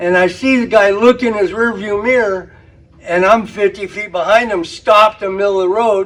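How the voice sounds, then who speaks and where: A man's high voice moves along at a middling pace. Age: 70s. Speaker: storyteller. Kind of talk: anecdote. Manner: animated.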